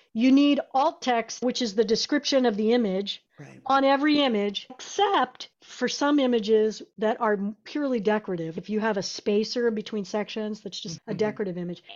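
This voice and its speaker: Talking at a fairly quick pace, a woman has a plain, everyday voice, fairly high in pitch with ordinary pitch variation. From South Texas (San Antonio), then Nebraska from 14. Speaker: web agency founder. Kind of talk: casual interview chat.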